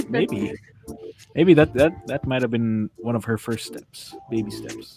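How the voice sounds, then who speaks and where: A man's medium-pitched voice at a fairly slow pace, with lively intonation and music in the background. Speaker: online radio co-host, voice actor. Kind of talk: casual chat.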